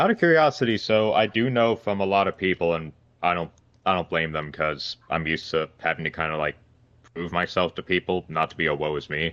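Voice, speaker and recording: A man's very deep, low voice with ordinary pitch variation, an American accent and a fairly quick pace. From Pennsylvania. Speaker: reality show contestant. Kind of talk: casual interview. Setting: call.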